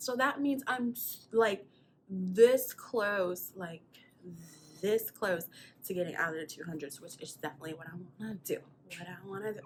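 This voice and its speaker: With an American accent, a woman speaks at a moderate pace in a somewhat breathy voice, with very wide pitch swings, big swings in loudness, and long, frequent pauses. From South Carolina. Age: 20s. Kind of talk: casual talk to camera.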